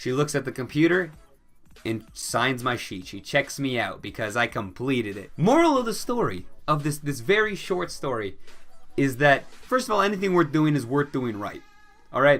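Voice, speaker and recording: With a Midwestern accent, a man talks at a moderate pace with very wide pitch swings as music plays in the background. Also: fairly high pitch for a man. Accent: Midwestern, sometimes puts on another. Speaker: YouTuber. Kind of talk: storytime vlog. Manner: casual, chatty.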